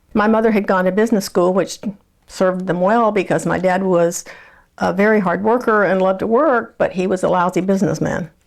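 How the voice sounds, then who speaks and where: A woman with a Texan accent talks at a fairly quick pace in a medium pitch. Her intonation is fairly even, her loudness very even, and the background is quiet. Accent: Texan Southern US. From Texas. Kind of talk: oral history interview. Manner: halting.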